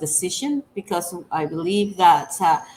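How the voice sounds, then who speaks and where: Over noticeable background noise, a woman speaks at a fairly slow pace in a fairly low pitch. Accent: Dominican. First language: Spanish. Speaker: women's rights organization director. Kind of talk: interview. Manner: halting.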